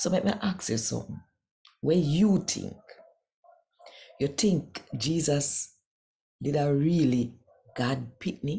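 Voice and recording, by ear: With a dark, mellow tone and vocal fry, a woman speaks at a low pitch and a slow pace, her intonation lively and her pauses long and frequent.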